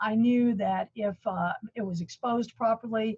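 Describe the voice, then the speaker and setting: Her intonation fairly even, a woman talks in a somewhat breathy voice. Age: 60s. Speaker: color management expert. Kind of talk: webinar presentation.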